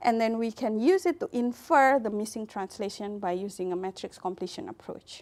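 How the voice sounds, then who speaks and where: In an Indonesian accent, a woman talks at a fairly high pitch with lively intonation and hardly any pauses, on a very clean recording with a silent background. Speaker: computer science researcher. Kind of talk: lecture. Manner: hesitant, many fillers.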